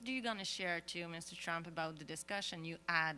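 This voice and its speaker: Speaking in a Quebec accent, a woman keeps a moderate pace at a medium pitch. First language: French. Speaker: journalist. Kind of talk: press conference question. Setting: press conference. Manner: halting.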